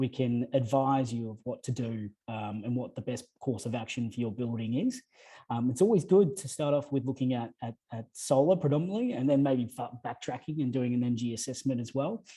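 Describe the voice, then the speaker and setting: With an Australian accent, this man talks at a medium pitch with ordinary pitch variation. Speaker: energy efficiency advisor. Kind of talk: panel discussion. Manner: fast.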